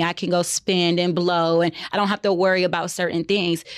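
A woman speaks in a normal speaking voice at a medium pitch. Her pace is fairly quick. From another US region, far from Texas. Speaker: podcast co-host and realtor. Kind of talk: casual chat.

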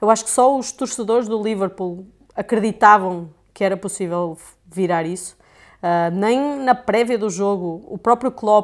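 A woman with a European Portuguese accent, a fairly high pitch, fairly even intonation and a moderate pace, in a very clean recording with a silent background. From Portugal. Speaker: sports camera operator and video editor. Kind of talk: casual chat.

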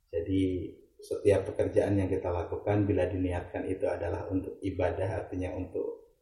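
A man at a moderate pace, with audible room echo. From West Java, Indonesia (Ciamis). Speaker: travel agency executive. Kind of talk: interview.

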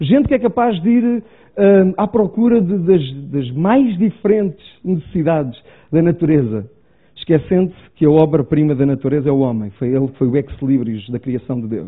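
Very wide pitch swings mark this voice with a European Portuguese accent. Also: man, fairly high pitch for a man, moderate pace. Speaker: preacher. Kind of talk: sermon. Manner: halting.

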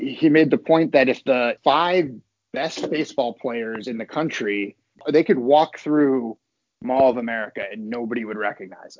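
Speaking at a moderate pace, a man uses an unremarkable speaking voice at medium pitch with ordinary pitch variation and big swings in loudness. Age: 30s. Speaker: esports team executive. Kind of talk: casual interview chat.

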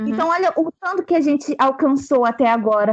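A woman speaks in a high pitch. Her intonation is lively. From Brazil, Angra dos Reis (Rio de Janeiro state). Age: 20s. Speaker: church member and theology contributor. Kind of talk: casual group discussion.

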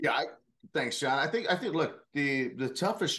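At a moderate pace, a man speaks in an ordinary speaking voice. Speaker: corporate security leader. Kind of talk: casual interview.

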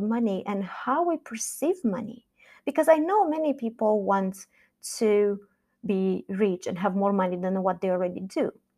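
In a very clean recording with a silent background, a woman with a Romanian accent speaks in a fairly high pitch with a dark, mellow tone. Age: 40s. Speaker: podcast host and life coach. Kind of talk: solo podcast monologue.

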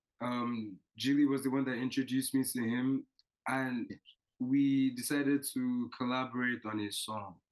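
Monotone, flat intonation from a man at medium pitch, delivered at a moderate pace. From Nigeria. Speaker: student and music artist. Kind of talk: casual interview.

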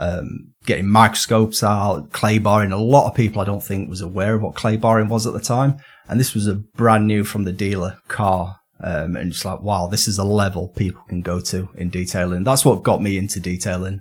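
Somewhat breathy, a man with a northern English accent speaks with fairly low pitch and fairly even intonation. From northern England. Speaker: detailing documentary maker. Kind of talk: casual interview chat.

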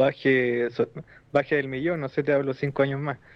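A man is speaking. He has a Chilean accent. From southern Chile. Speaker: wrestling podcast panelist. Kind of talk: casual chat.

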